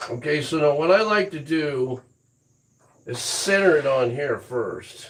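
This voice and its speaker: Fairly slow in pace, a man speaks with a normal speaking voice. His pitch is fairly high, with ordinary pitch variation. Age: 60s. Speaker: woodturner. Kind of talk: live-stream tutorial. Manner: casual, rambling with fillers.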